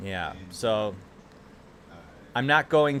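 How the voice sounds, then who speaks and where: A man talks with an American accent and ordinary pitch variation. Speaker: streamer. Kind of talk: casual chat. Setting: live stream. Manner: casual, filler-heavy.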